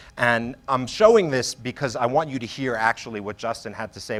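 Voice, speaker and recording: Recorded very cleanly against a silent background, a man with a medium pitch speaks at a fairly quick pace with ordinary pitch variation. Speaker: marketing executive. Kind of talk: conference talk. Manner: fast.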